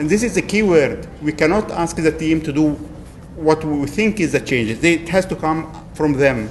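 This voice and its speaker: A fairly high-pitched man with a non-native accent and ordinary pitch variation, over noticeable background noise. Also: moderate pace. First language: not English. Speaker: agile coach. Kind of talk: lightning talk presentation. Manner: hesitant, with fillers.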